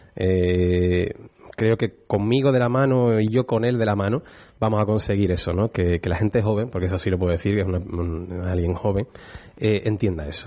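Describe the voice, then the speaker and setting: Speaking with a dark, mellow tone, a man keeps a moderate pace and ordinary pitch variation. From Utrera, Andalusia, Spain. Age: 30s. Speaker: art historian. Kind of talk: interview.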